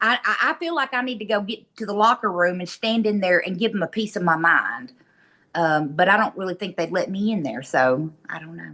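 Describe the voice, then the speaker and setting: Speaking at a fairly quick pace, a woman with a medium pitch uses lively intonation, big swings in loudness and a bright, sharp tone. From Tennessee (West Tennessee), moved from Michigan in middle school. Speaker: social media personality. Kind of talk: casual chat.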